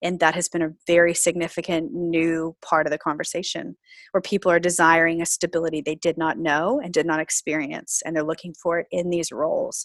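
A woman with an unremarkable speaking voice talks at a fairly quick pace with hardly any pauses, a fairly low pitch and fairly even intonation, in a dry, close sound with no echo over a quiet background. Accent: American. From US South, Florida. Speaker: pastor. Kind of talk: interview.

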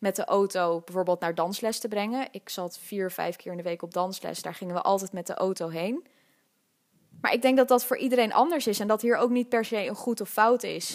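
A woman in a plain, everyday voice speaks at a moderate pace and medium pitch, with ordinary pitch variation. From Netherlands, Amsterdam (Nieuw-West). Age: 20s. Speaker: podcast host. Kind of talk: solo podcast monologue. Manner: casual, laughing often.

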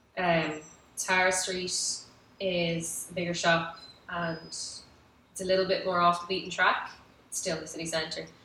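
A woman with a Dublin accent, fairly low in pitch, in a flat monotone at a fairly slow pace, with long, frequent pauses, big swings in loudness and noticeable background noise. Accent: Dublin Irish. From Ireland, Dublin area (Howth). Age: 30s. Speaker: restaurant founder. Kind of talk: interview, casual chat.

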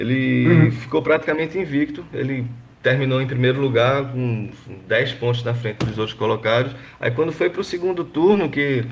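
Moderately paced, a man's voice is somewhat breathy and medium in pitch. His pitch varies in an ordinary way. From Brazil, Pernambuco interior (Gravatá). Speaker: football fan. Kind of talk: casual chat. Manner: halting.

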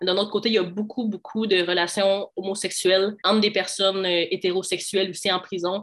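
A woman's ordinary speaking voice at a medium pitch, fairly quick in pace, with fairly even intonation. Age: 20s. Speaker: law student. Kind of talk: interview.

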